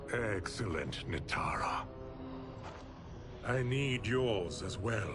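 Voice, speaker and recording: A put-on character voice from a man, very slow pace and medium pitch, over loud music in the background. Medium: game stream. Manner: imperious.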